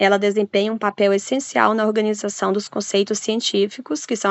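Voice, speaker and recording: A woman of medium pitch talks at a moderate pace. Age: 30s. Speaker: university student presenting group work. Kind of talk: student presentation. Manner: halting, many fillers.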